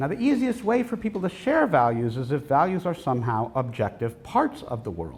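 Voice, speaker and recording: A somewhat breathy male voice at a moderate pace with very wide pitch swings. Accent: American. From United States. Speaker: professor. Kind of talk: lecture.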